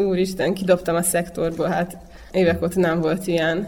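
A woman has an unremarkable speaking voice, medium pitch and fairly even intonation. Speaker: javelin thrower. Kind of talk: interview.

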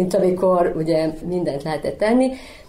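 A woman with ordinary pitch variation. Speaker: psychologist. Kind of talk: interview.

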